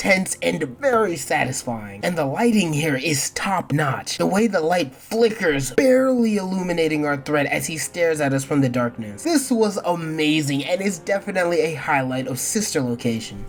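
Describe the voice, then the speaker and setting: Pitch swings very widely at a moderate pace, with noticeable background noise throughout. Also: woman, very deep, low pitch for a woman. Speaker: gaming video essayist. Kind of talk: video game review narration. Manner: casual, humorous.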